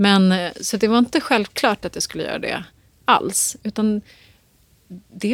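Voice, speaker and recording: A woman's plain, everyday voice, fairly high in pitch and at a fairly slow pace, with a dry, close sound with no echo. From Stockholm, Dalen. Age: 40s. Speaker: author and journalist. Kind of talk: interview.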